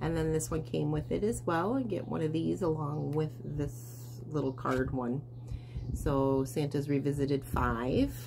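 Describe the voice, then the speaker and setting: Audible room echo surrounds a woman with a very deep, low pitch and ordinary pitch variation. She keeps a fairly slow pace and very even loudness. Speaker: cross stitch and quilting vlogger. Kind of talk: casual show-and-tell vlog. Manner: hesitant, many fillers.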